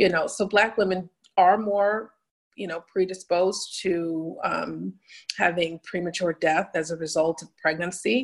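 A woman with an American accent and an unremarkable speaking voice talks at a moderate pace. Her pitch is fairly low and her intonation fairly even. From New Haven, Connecticut. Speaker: psychiatric nurse practitioner. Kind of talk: interview.

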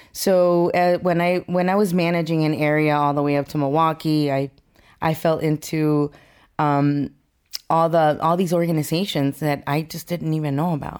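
A woman with an American accent, very deep and low in pitch, at a moderate pace with monotone, flat intonation on a very clean recording with a silent background. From Mexico (Durango) and Los Angeles. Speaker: mortgage branch manager. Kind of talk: interview.

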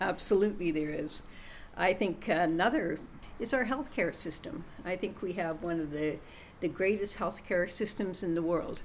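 A woman with a Canadian accent speaks at a medium pitch with ordinary pitch variation in an unremarkable speaking voice. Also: moderate pace. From Canada. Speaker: podcast co-host. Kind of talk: casual chat.

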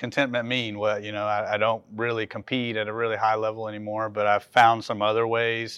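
Against a quiet background, a man speaks at a fairly quick pace in a medium-pitched voice. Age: 40s. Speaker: cardiac patient and CrossFit athlete. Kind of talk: interview.

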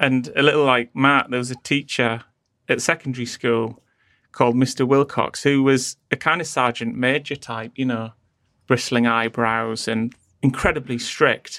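Dry and close with no echo, a man's medium-pitched voice in a northeastern English accent has a bright, sharp tone and fairly even intonation. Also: moderate pace, very clean recording, silent background. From northeast England. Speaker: design agency founder. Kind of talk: interview conversation.

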